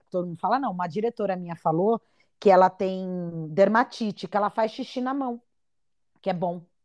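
At a fairly quick pace, a woman of medium pitch sounds animated, with ordinary pitch variation and long, frequent pauses, recorded dry and close with no echo against a quiet background. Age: 30s. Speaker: podcast host and actress. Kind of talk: casual chat.

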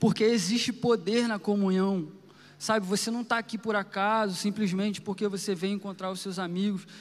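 At a moderate pace, a man talks in a high pitch with monotone, flat intonation. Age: 30s. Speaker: preacher. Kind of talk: sermon. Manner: informal, conversational.

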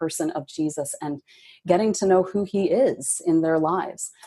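In a very clean recording with a silent background, a woman with an ordinary speaking voice and an American accent speaks at a moderate pace and a fairly low pitch with ordinary pitch variation. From Michigan. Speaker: book editor. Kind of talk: interview.

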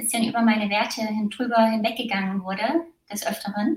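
A woman with a fairly high pitch and a somewhat breathy voice speaks at a moderate pace. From East Germany, small village. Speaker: former competitive athlete. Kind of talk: interview testimony.

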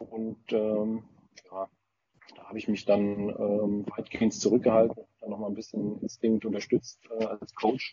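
This man's pitch is fairly low and his delivery is fairly slow. His intonation stays flat and monotone throughout. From Frankfurt region, Germany. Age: 30s. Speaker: paintball team founder. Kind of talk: casual chat.

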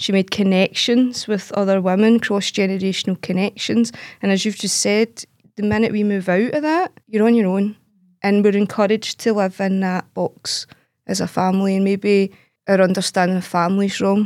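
A woman talks at a medium pitch in a Glaswegian accent. The recording is very clean and dry, close with no echo and a silent background. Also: fairly even intonation, moderate pace. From Glasgow East End, Scotland. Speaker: poet. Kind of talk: roundtable discussion.

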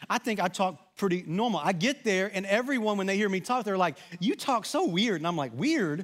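Very fast and with lively intonation, a man with a Southern US accent speaks in a high voice on a very clean recording with a silent background. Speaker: pastor. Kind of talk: sermon. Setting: church.

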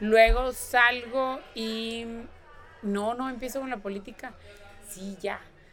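Amid audible room echo, a woman with a fairly high pitch speaks very slowly in a monotone, flat way, with long, frequent pauses and big swings in loudness. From northern Mexico (Nuevo León). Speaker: politician, gubernatorial candidate. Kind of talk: interview.

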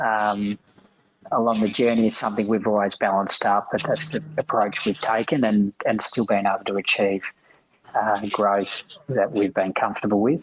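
In an Australian accent, a man talks at a moderate pace with a fairly low pitch, fairly even intonation, and very even loudness. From Western Australia (rural, Lake King). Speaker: managing director of a grain exchange. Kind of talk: casual interview chat.

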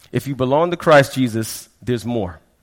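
Delivered in an ordinary speaking voice, the speech has a moderate pace and ordinary pitch variation. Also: man. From Florida, raised from childhood; early years in Brooklyn, West Indian parents. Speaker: pastor. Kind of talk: sermon.

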